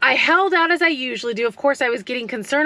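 A woman's raised, projected voice with a bright, sharp tone and ordinary pitch variation, in a dry space with no echo. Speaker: food delivery driver vlogger. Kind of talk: casual vlog chat. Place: car. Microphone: phone near.

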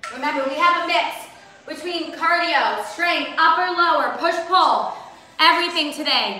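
In a room with audible echo, a woman uses a raised, projected voice. Her pace is moderate and her pitch varies in an ordinary way. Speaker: fitness instructor. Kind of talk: workout coaching cues. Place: home room.

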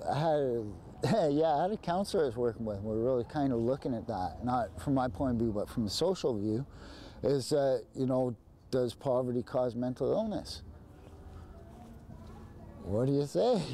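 A man's dark, mellow voice at a moderate pace, lively in intonation and broken by long, frequent pauses, with light background noise and a dry sound with no echo. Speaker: interviewee. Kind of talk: interview answer. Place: street. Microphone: lapel.

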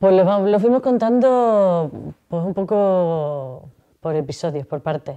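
A woman speaks in a dark, mellow tone at medium pitch with lively intonation and a very slow pace. The background is quiet. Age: 50s. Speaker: cancer survivor. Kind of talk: interview testimony. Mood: calm, reflective, serious topic. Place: home room.

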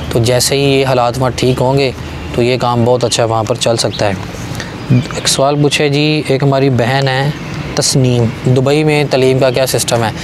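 A man's voice with fairly even intonation, over clear background noise.

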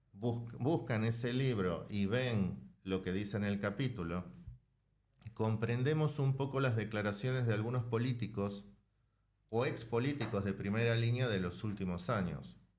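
This man's voice sits at a medium pitch, with ordinary pitch variation. He speaks at a fairly slow pace, and his loudness stays very even. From Argentina. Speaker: author and political science lecturer; political science lecturer. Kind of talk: interview. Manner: measured, explanatory. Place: studio. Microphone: studio mic.

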